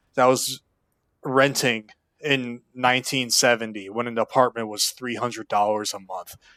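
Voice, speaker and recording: A man shouts at a moderate pace. The recording is very clean with a silent background, and the sound is dry and close, with no echo. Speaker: YouTuber giving life advice. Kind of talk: unscripted rant to camera. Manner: loud, yelling; animated.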